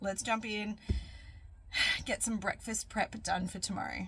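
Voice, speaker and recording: A woman with an Australian accent speaks at a fairly slow pace in a fairly high voice. Noticeable background noise sits behind her. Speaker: cooking vlogger. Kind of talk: cooking tutorial. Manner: casual, chatty.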